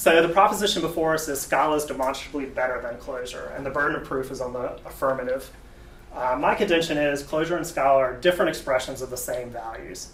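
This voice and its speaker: This man speaks very fast at a fairly high pitch with an American accent and ordinary pitch variation, with audible room echo and noticeable background noise. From US South. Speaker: software developer, debate speaker. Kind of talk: tech talk debate presentation. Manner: casual, halting with fillers.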